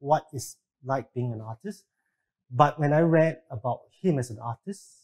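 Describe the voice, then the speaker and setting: A somewhat breathy man's voice, fairly high-pitched, at a fairly slow pace. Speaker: artist and art teacher. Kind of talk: panel interview.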